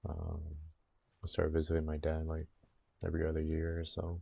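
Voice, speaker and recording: Speaking at a fairly quick pace, a man has a dark, mellow, relaxed tone, somewhat breathy, at a very deep, low pitch with monotone, flat intonation. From Puerto Rico, raised in mainland US from about age six. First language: Spanish. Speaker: gaming livestreamer. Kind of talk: casual livestream chat while gaming, reading chat aloud. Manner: relaxed, chatty.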